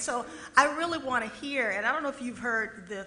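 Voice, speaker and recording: A woman's high pitch with ordinary pitch variation at a fairly quick pace, amid audible room echo and noticeable background noise. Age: 60s. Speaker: panel moderator. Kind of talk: moderated Q&A. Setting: stage with audience.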